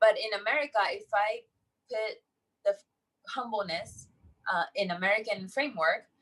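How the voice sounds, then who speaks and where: A woman with a fairly high voice speaks at a moderate pace, her pitch varying in an ordinary way. Long pauses come often. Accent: Japanese. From Japan, countryside. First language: Japanese. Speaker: entrepreneur. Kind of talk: interview.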